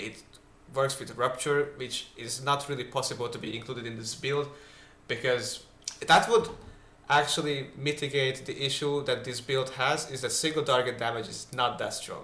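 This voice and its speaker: A man mumbles at a moderate pace in a medium pitch with fairly even intonation. His loudness swings widely, and there is noticeable background noise. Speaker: gaming video creator. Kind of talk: game guide voice-over. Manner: mumbling.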